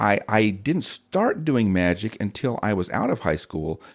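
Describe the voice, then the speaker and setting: Speech with an American accent and very wide pitch swings. The recording is very clean, with a silent background. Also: man. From southern Illinois. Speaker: magician and ventriloquist. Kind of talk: casual interview chat. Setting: podcast studio.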